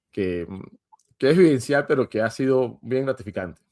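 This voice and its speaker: Dry, close sound with no echo carries a man's lively intonation in a Venezuelan accent. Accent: Venezuelan accent noticeable in Portuguese. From Venezuela, Mérida (Andes). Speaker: tech lead and instructor. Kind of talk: interview. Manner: hesitant with fillers.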